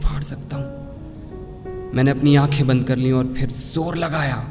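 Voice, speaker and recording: A man speaks with music in the background. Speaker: voice over artist. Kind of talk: first-person story narration.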